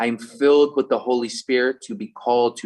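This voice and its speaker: A strong Philadelphia accent at a moderate pace. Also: man. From Philadelphia, US. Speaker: online community event host. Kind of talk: closing remarks at online event. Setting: Zoom meeting.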